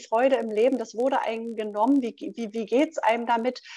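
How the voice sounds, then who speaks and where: Her voice is an unremarkable speaking voice, a woman's at fairly high pitch with ordinary pitch variation. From Berlin. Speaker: podcast host, retired nurse. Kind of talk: live call-in podcast hosting.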